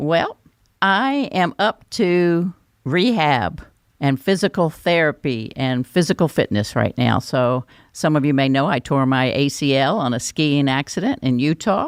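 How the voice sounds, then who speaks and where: In a North Carolina accent, a woman with a very deep, low pitch speaks at a fairly slow pace with lively intonation and very even loudness, in a dry, close, very clean recording with a silent background. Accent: Southern US (North Carolina). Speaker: podcast host, education expert. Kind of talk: podcast interview and sign-off.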